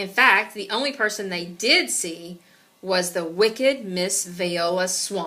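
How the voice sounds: What you hear is a natural reading voice.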